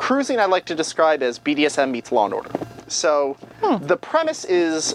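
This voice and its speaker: Over music in the background, a man speaks with lively intonation. His pitch is fairly high and his pace moderate. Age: 40s. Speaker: BDSM film reviewer. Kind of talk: casual podcast chat reviewing movies.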